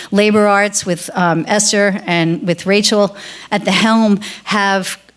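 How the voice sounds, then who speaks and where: The speech moves at a fairly slow pace with fairly even intonation. Noticeable background noise sits behind it. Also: woman. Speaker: activist and coalition organizer. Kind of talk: closing remarks at awards ceremony.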